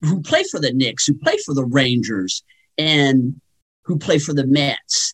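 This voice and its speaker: Lively intonation marks this man's fairly high, somewhat breathy voice. It's recorded dry and close, with no echo. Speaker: sports talk guest. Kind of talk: radio interview, sports talk. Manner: conversational, thoughtful, some filler words.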